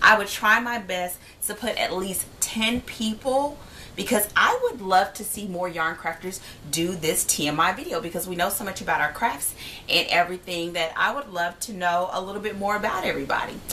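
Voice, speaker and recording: Noticeable background noise behind a woman's voice, medium in pitch, with ordinary pitch variation. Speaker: vlogger and yarn crafter. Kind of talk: casual vlog Q&A. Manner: fast.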